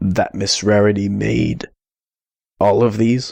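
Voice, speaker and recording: In a put-on character voice, a man speaks with a raspy, fairly low pitch at a fairly slow pace. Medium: read story. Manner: uncertain, apologetic.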